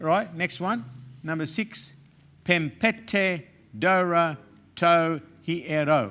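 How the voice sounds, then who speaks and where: A loud, high-pitched male voice with a bright, sharp tone, ordinary pitch variation, a very slow pace and long, frequent pauses, on a very clean recording with a silent background. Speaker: Greek teacher. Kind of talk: lecture.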